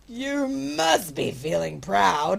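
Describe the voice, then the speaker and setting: Someone puts on a character voice at a middle pitch. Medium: read story. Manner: indignant, scheming.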